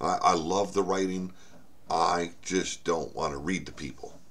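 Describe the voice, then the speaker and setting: A man's very deep, low voice at a fairly slow pace, fairly even in intonation but with big swings in loudness, amid audible room echo and noticeable background noise. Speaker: author and channel host. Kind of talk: casual vlog update. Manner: halting, many fillers and repeats.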